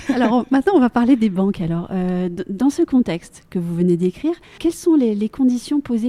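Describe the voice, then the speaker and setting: This woman has an ordinary speaking voice, a medium pitch, lively intonation and a fairly quick pace, recorded dry and close with no echo. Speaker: podcast host. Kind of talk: interview questions.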